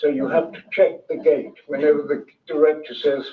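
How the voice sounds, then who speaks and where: A man speaks at a moderate pace with a London accent. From London, England. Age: 80s+. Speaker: author, former film crew member. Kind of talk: public talk.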